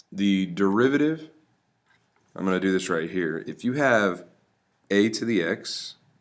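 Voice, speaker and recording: This man pauses often and for long stretches. Audible room echo surrounds his voice. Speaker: math teacher. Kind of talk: lecture. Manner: halting.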